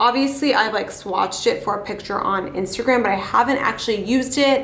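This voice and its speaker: Fairly high-pitched woman's voice with an American accent, amid noticeable background noise and audible room echo. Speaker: beauty vlogger. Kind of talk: casual makeup tutorial chat. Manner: casual, chatty.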